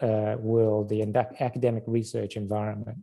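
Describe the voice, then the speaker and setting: The recording is very clean, its background silent. A man with a northern English accent speaks at a moderate pace in a dark, mellow tone. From northern England. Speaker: biotech research director giving a career talk. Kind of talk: seminar talk. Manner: halting, many fillers.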